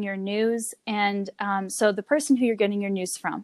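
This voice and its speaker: A plain, everyday voice with a General American accent comes at a moderate pace in a dry, close sound with no echo. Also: woman, very clean recording, silent background. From Colorado (Longmont). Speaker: news reporter. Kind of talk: interview.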